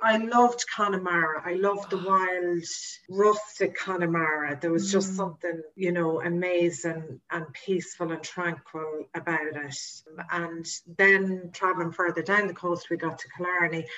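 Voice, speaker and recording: A woman speaks with an Irish accent at a fairly low pitch, her intonation fairly even. Noticeable background noise runs under her voice. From Ireland, County Meath. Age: 40s. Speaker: tour operator. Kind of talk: interview.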